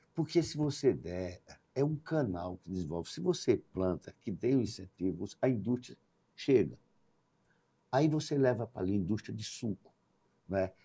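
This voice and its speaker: Speaking at a moderate pace with long, frequent pauses, a man with a fairly low pitch and a dark, mellow, somewhat breathy tone makes very wide pitch swings and big swings in loudness. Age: 60s. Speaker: businessman. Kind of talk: podcast interview.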